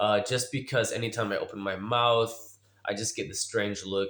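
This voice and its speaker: Speaking with an American accent, a man keeps a fairly slow pace at medium pitch. The recording is very clean, with a silent background. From United States. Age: 40s. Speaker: vlogger. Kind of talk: personal vlog monologue. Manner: casual, hesitant with many fillers.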